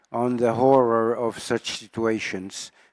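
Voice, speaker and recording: Fairly slow speech from a man with a French accent, in a dry, close sound with no echo. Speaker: epidemiologist. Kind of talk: audience comment at a conference. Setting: conference session with audience.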